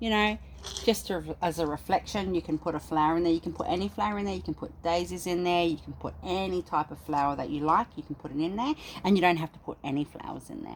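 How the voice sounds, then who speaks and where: A woman with an Australian accent, fairly low in pitch, at a very fast pace with lively intonation. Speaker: spiritual practitioner. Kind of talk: tutorial.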